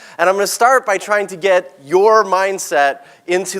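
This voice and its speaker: In an animated tone, a man speaks. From Texas (born in South Africa). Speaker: keynote speaker and author. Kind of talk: keynote presentation. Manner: fast.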